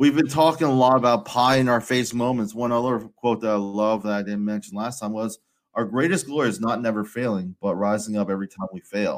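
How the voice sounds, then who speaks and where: In a very clean recording with a silent background, a man at a medium pitch talks at a fairly quick pace with ordinary pitch variation. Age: 30s. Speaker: ministry podcast host. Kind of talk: casual chat. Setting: live stream.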